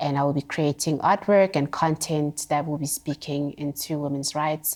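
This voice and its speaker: A woman's very deep, low voice in a South African accent, monotone and flat, on a very clean recording with a silent background. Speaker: visual artist. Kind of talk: interview conversation.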